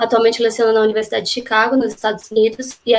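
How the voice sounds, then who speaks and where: A woman is speaking. Her pace is very fast. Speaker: event host. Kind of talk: formal introduction.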